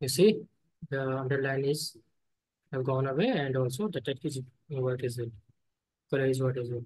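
Somewhat breathy speech at a moderate pace, ordinary pitch variation, long, frequent pauses. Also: man, medium pitch for a man. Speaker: programming instructor. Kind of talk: live coding class.

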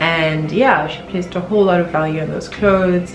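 A woman's fairly even intonation at a fairly quick pace, with clear music in the background. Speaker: vlogger. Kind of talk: casual vlog chat. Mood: reflective, a bit bittersweet. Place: home room.

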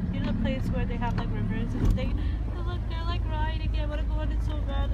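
A woman talks at a fairly quick pace. There is loud background noise behind her. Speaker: vlogger. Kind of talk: casual vlog chat. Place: boat. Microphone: phone near.

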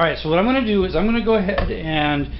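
There is noticeable background noise. Through it, a man talks. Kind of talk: casual cooking tutorial. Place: kitchen. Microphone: phone near.

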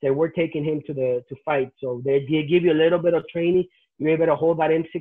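A man with a Spanish accent talks at a fairly quick pace with a fairly high pitch. His intonation is fairly even, and the sound is dry with no echo. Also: quiet background. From Nicaragua. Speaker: pastor; interviewee. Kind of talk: testimony. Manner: halting. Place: home room. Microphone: video call.

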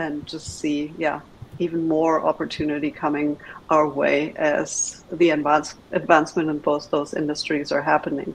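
With light background noise, a woman speaks fairly slowly at a very deep, low pitch. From Germany (Berlin). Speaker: venture capital investor. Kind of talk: presentation. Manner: hesitant, many filler words. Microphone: video call.

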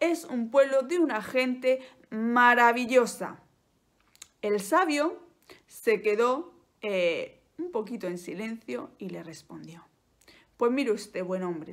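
A woman with a Spanish accent at a very slow pace, her fairly high voice gentle and dramatic in tone, with very wide pitch swings, long, frequent pauses and a quiet background. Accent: Peninsular Spanish. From Spain. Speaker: Spanish teacher and YouTuber. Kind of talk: bedtime-style storytelling, slow and soothing, told as a tale; casual educational monologue. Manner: slow, gentle, clearly articulated, with dramatic pauses and a warm, coaxing tone. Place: home room. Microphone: phone near.

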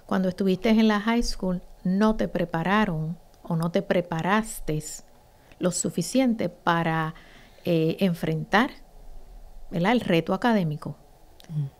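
A woman's fairly slow delivery with ordinary pitch variation and long, frequent pauses. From Puerto Rico, Ponce; Puerto Rico. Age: 50s. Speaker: teacher and association founder; teacher. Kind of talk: interview. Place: studio. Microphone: studio mic.

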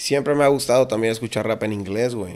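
A man talks at a moderate pace. His pitch is medium, with ordinary variation. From Mexico. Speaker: rapper; guest. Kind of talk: casual interview chat. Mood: relaxed casual. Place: studio. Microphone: studio mic.

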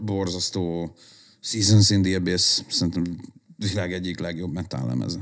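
A man speaking at a very slow pace over a quiet background. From Budapest, Hungary. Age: 40s. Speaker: hardcore musician and concert organizer; podcast guest. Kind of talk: casual chat. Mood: relaxed, enthusiastic. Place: home room. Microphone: studio mic.

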